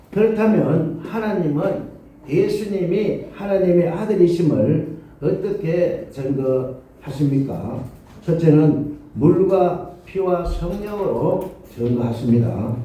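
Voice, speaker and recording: Amid audible room echo, a man with a high pitch speaks at a very slow pace with lively intonation. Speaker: pastor. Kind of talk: sermon.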